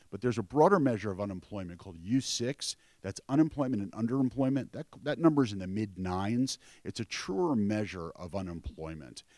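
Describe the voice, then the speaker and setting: Speaking at a fairly quick pace with an American accent, a man uses a fairly low pitch, lively intonation and big swings in loudness. The very clean recording has a silent background and a dry, close sound with no echo. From New York. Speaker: financial analyst. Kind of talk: panel talk. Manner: fast.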